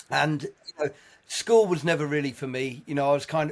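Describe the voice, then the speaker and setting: Speaking at a moderate pace, a man uses a fairly high pitch that varies in an ordinary way. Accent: English. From southern England, Sussex. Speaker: jazz musician. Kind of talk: casual chat.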